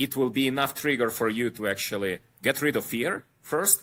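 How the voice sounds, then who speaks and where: In a very clean recording with a silent background, a man speaks at a moderate pace. His tone is bright and sharp, with a medium pitch and ordinary pitch variation. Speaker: podcast guest, traveler. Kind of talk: casual interview chat.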